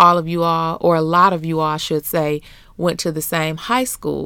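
The recording is very clean, with a silent background. A woman with an American accent speaks at a fairly low pitch in a bright, sharp tone. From US Midwest (Flint, Michigan). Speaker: podcast host, mother and pastor's wife. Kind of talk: casual chat. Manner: animated.

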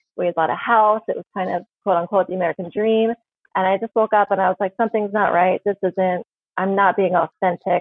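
Speaking fairly quickly in an ordinary speaking voice, a woman keeps a medium pitch and fairly even intonation. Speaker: palm reader and author. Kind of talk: casual interview chat. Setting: video call.

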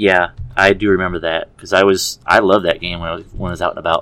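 The voice has a bright, sharp tone. It carries an American accent. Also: man. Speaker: student and military veteran, first-time guest. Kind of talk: casual chat.

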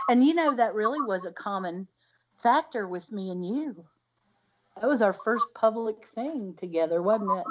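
With a normal speaking voice, a woman talks at a moderate pace in a fairly high pitch and lively intonation. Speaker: podcast co-host. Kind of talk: casual chat.

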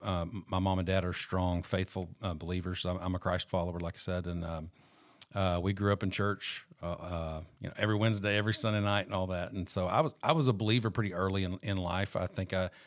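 Captured in a very clean recording with a silent background, a man with a very deep, low voice and a Southern US accent speaks at a fairly quick pace. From Arkansas, Fort Smith area. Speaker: real estate agent sharing recovery testimony. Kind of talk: testimony. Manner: halting, many fillers.

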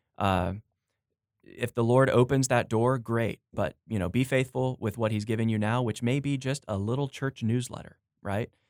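A man talks at a moderate pace and a medium pitch, with fairly even intonation and an unremarkable speaking voice. The sound is dry and close, with no echo. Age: 30s. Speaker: editor and pastor. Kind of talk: casual interview. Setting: studio.

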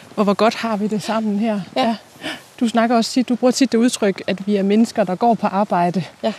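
Over noticeable background noise, a woman talks at a moderate pace in a fairly high pitch with fairly even intonation. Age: 30s. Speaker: journalist interviewing the host. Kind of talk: interview. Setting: outdoors, walking.

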